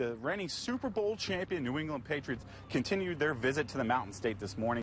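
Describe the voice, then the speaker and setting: With a fairly quick pace and lively intonation, this is an ordinary speaking voice. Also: man. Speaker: sports anchor and reporter. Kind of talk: sports anchor desk read.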